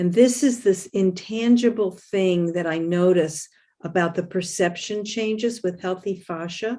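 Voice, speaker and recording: A woman speaks at medium pitch in a dark, mellow tone. Her pace is fairly slow, with ordinary pitch variation. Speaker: podcast host. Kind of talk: casual chat.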